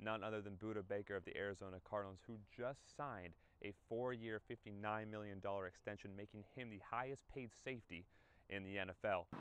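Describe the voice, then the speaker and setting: With a normal speaking voice, a man talks at a fairly quick pace, his fairly low pitch held in fairly even intonation. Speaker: sports broadcaster. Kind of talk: sports news anchor desk read.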